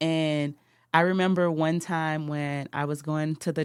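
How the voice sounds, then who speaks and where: Someone with a New Orleans accent speaks on a very clean recording with a silent background. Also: woman. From New Orleans, Louisiana. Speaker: natural hair stylist, salon owner. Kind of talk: podcast interview.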